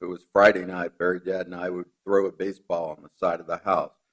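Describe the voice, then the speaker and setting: A man with an American accent delivers his words at a fairly quick pace. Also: dry, close sound with no echo. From Long Island, New York. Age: 50s. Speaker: eulogist, son of the deceased. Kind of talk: eulogy. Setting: memorial service at a law school.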